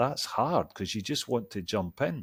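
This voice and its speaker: A fairly low-pitched man with a Scottish accent at a moderate pace, on a very clean recording with a silent background. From Scotland. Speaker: executive coach. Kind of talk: interview.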